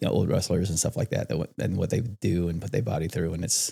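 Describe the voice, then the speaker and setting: A man's very deep, low voice with vocal fry, a dark, mellow tone, very wide pitch swings and a fairly quick pace. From Iowa, US Midwest. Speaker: wrestling coach and apparel business owner. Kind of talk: casual chat. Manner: fast.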